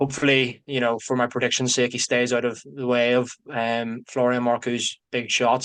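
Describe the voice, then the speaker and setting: This is a man's voice. His intonation is monotone and flat. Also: quiet background. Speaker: boxing pundit. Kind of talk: casual chat.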